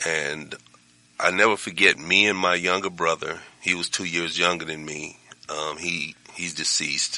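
A man speaks at a moderate pace with a very deep, low pitch and monotone, flat intonation. Noticeable background noise is present. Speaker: pastor. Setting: studio.

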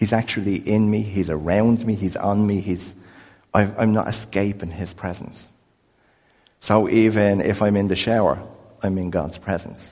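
In an Irish accent, the voice has a dark, mellow tone and a monotone, flat intonation at a moderate pace, with audible room echo. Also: man, fairly low pitch for a man. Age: 50s. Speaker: pastor. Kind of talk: sermon.

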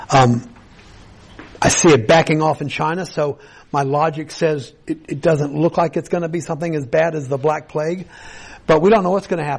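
This is a plain, everyday voice moving at a fairly quick pace. The intonation stays fairly even. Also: man, fairly high pitch for a man. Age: 60s. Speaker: pastor. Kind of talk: sermon. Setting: church.

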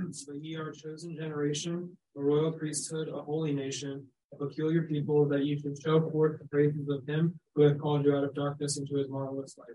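Using a put-on character voice, a man booms at a fairly quick pace with a fairly high pitch, a monotone, flat intonation and big swings in loudness.

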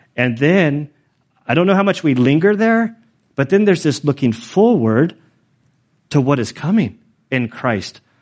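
Delivered at a moderate pace, the speech swings very widely in pitch and is broken by long, frequent pauses. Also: man, fairly high pitch for a man. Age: 40s. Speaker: pastor. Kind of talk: sermon. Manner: casual, conversational.

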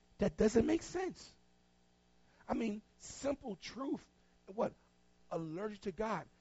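A man's high voice with an American accent, very wide pitch swings, a very slow pace and long, frequent pauses. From North Carolina, Tarboro. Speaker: pastor. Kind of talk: sermon. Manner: animated.

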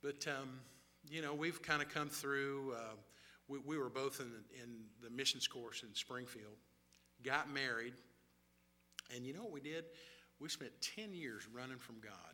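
With a Southern US accent, a man speaks at a moderate pace and medium pitch, using ordinary pitch variation, big swings in loudness, and long, frequent pauses. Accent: US South. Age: 60s. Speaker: missionary. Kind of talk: sermon. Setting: church.

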